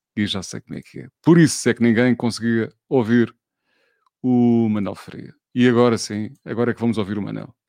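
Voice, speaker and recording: The man's voice has a dark, mellow tone at a medium pitch. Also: fairly even intonation, moderate pace, big swings in loudness, dry, close sound with no echo. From Portugal, Alentejo roots. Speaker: radio host running a live online talk show. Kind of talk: live-streamed casual interview. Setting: live stream with video call guests.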